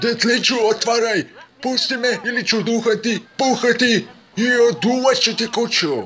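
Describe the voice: A man performs a put-on character voice. His pitch sits extremely high.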